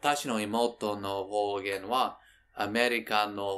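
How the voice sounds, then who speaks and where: A man with a fairly low pitch on a very clean recording with a silent background. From New York State. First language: English (speaking Japanese). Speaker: Japanese language learner vlogger. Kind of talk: reading aloud a diary. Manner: halting non-native Japanese.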